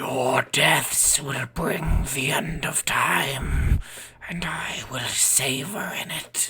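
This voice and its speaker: A man puts on a raspy character voice at a medium pitch and speaks at a very slow pace. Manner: menacing.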